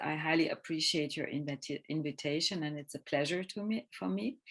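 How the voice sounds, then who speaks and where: A non-native accent at a moderate pace in a very clean recording with a silent background. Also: woman. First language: not English. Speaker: filmmaker and film scholar. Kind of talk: lecture. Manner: halting.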